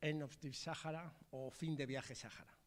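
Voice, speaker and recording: A man with a Spanish accent speaks with fairly even intonation. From Madrid, Spain. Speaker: film director. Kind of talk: panel discussion.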